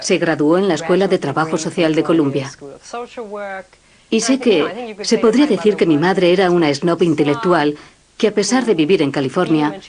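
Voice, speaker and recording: A woman with a fairly low pitch speaks at a moderate pace with lively intonation. Her loudness stays very even over noticeable background noise. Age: 40s. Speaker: daughter caring for mother with Alzheimer's. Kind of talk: documentary narration.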